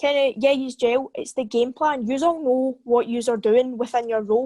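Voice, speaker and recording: With a Scottish accent, a woman speaks at a high pitch and fairly quick pace with ordinary pitch variation, her voice dry and close with no echo over a quiet background. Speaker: football podcast co-host, fan. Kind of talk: casual chat.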